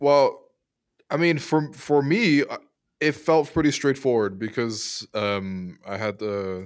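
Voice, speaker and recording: Recorded very cleanly against a silent background, a man with an ordinary speaking voice talks at a fairly slow pace with ordinary pitch variation. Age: 20s. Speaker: sports radio host. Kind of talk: casual chat.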